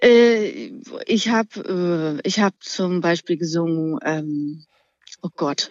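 Very slow delivery with lively intonation. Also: woman, fairly low pitch for a woman. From Thuringia, eastern Germany. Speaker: singer. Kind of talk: casual chat.

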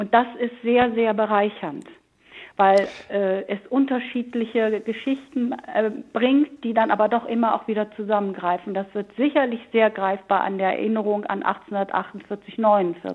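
A woman talks at a fairly slow pace in a fairly high pitch with ordinary pitch variation. She has an ordinary speaking voice. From Hamburg. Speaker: historian. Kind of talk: panel discussion.

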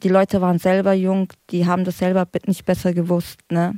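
A woman's dark, mellow tone at medium pitch, with a dry, close sound and no echo. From Frankfurt. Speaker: recovering drug addict. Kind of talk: casual chat.

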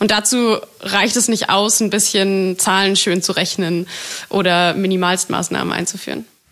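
Over noticeable background noise, a woman at a medium pitch talks with very even loudness and monotone, flat intonation. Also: moderate pace. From Germany, Berlin. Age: 20s. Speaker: climate activist. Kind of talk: interview.

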